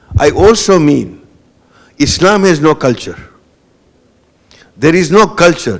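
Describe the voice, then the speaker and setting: Speaking with a Gujarati accent, a man has a fairly high pitch, vocal fry and lively intonation. His loudness stays very even, broken by long, frequent pauses. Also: fairly slow pace. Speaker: guest lecturer. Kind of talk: panel discussion after a lecture. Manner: hesitant, with many fillers and repetitions.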